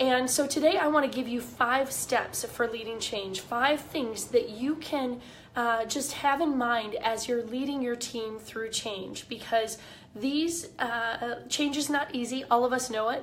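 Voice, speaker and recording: Audible room echo carries a woman's high-pitched voice, which has ordinary pitch variation. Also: fairly slow pace. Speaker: leadership coach. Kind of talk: live video talk. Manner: casual, with fillers.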